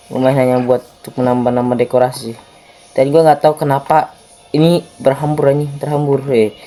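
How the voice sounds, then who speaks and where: Delivery is fairly quick, with monotone, flat intonation. Noticeable background noise runs underneath. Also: man, fairly high pitch for a man. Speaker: gaming youtuber. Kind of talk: gameplay commentary. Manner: casual, informal slang.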